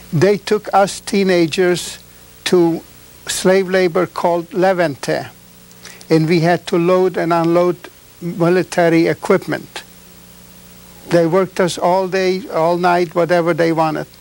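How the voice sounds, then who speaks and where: A man with high pitch and monotone, flat intonation, at a fairly slow pace with long, frequent pauses and very even loudness, over noticeable background noise. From Czechoslovakia. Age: 70s. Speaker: Holocaust survivor. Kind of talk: testimony. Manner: halting.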